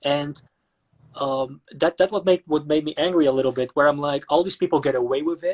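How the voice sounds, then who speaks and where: A man with a Dutch accent speaks at a moderate pace and fairly high pitch. His pitch variation is ordinary, and the sound is dry and close with no echo. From Netherlands, Amsterdam. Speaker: actor and online interviewer. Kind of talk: casual interview chat. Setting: Instagram live video call.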